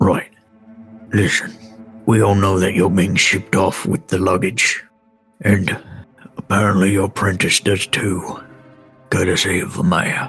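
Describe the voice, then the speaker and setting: A man uses a put-on character voice at a fairly low pitch and a moderate pace. Faint music plays in the background. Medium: actual play. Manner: dry, clipped, proper.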